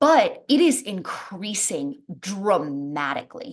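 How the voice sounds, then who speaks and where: An animated tone with very wide pitch swings. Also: woman. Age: 30s. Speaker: wellness coach. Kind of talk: casual chat.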